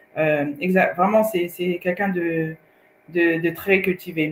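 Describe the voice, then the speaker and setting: Speaking at a fairly slow pace with a Swahili accent, a woman with a fairly low pitch is heard over noticeable background noise. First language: Swahili (speaking French). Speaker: co-host. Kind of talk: casual chat. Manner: halting.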